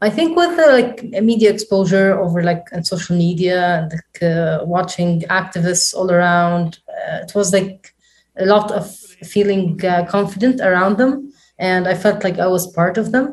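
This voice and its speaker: A somewhat breathy woman's voice of medium pitch, moderate pace and ordinary pitch variation. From small town in Lebanon. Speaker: interviewee. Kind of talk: interview.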